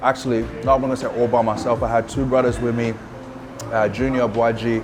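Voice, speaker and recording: With an Australian accent, a man of medium pitch talks at a fairly quick pace in a relaxed tone and monotone, flat intonation. Audible room echo and music in the background fill the recording. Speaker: rapper. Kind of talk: casual interview. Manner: relaxed, filler-heavy.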